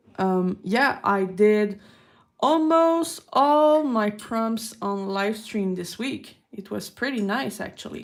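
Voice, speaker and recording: With a Quebec accent, a woman talks at a very slow pace in a fairly high pitch with lively intonation, on a very clean recording with a silent background. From Quebec, Canada. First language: French. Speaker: artist streamer. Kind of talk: live art stream chat. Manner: casual, unhurried.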